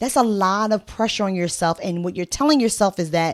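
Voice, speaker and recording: A woman speaks in an animated tone with ordinary pitch variation. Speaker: life coach. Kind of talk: motivational talk.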